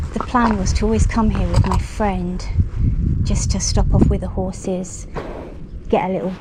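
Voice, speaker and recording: The woman talks at a fairly slow pace. Audible room echo and noticeable background noise surround her voice. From London. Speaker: horse rider vlogger. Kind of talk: casual vlog narration. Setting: outdoors.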